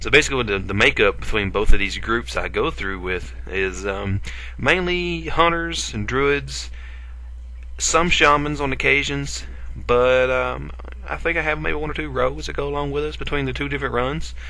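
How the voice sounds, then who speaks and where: Amid audible room echo, a man with an Appalachian accent talks at a moderate pace. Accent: Appalachian, self-described. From Appalachia, US. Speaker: gaming video creator. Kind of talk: gameplay commentary. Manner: casual, hesitant with fillers.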